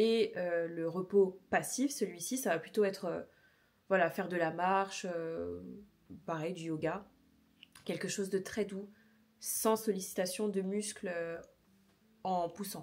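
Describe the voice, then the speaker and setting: A woman's medium-pitched voice, very slow and fairly even in intonation, with long, frequent pauses. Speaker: fitness vlogger. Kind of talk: casual vlog talk. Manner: hesitant with many fillers.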